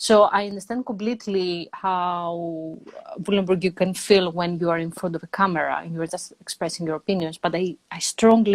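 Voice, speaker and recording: In a Greek accent, a woman talks at a moderate pace with fairly even intonation. The sound is dry and close, with no echo. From Greece. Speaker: energy psychologist and online entrepreneur. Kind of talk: casual conversation.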